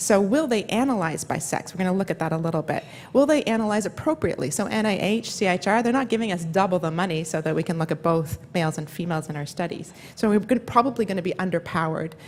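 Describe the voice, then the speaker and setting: Talking very fast, a woman speaks at a medium pitch. Her intonation is lively. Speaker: neuroscience professor. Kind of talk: conference lecture.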